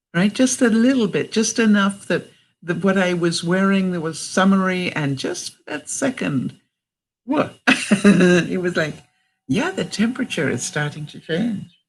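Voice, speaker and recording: On a very clean recording with a silent background, a woman with a Canadian accent speaks at a fairly slow pace. Her medium-pitched voice is somewhat breathy, with lively intonation. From Canada. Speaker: vlogger. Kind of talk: live stream talk to viewers. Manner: warm, supportive.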